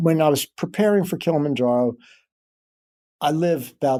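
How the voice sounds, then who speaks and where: Over a silent background in a very clean recording, a man talks at a fairly quick pace, his fairly high voice dark and mellow with ordinary pitch variation. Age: 70s. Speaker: fitness trainer. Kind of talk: interview. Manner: halting.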